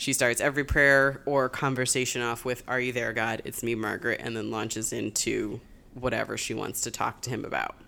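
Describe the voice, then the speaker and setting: A woman talks at a fairly quick pace with a very deep, low pitch, vocal fry, a bright, sharp tone and monotone, flat intonation. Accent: American. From Springfield, Massachusetts. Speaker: book podcast co-host. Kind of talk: casual chat.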